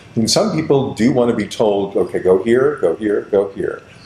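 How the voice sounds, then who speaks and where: Over noticeable background noise, a man in an American accent speaks at a moderate speed. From Kansas, Kansas City suburbs. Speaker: theater director. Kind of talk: interview.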